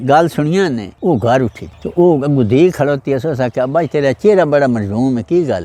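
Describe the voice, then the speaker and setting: A man's voice with a dark, mellow tone. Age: old. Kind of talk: storytelling of past experiences.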